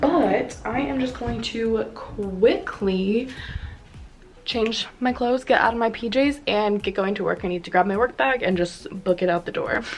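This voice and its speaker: Music plays in the background as a woman speaks. Her pitch is fairly high and her intonation lively. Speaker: lifestyle vlogger. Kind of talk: vlog narration. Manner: fast.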